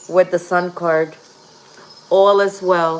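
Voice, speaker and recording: With a Puerto Rican accent, a woman speaks at a very slow pace in a fairly low, monotone voice with flat intonation over noticeable background noise. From Puerto Rico. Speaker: tarot reader. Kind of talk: livestream tarot reading. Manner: casual.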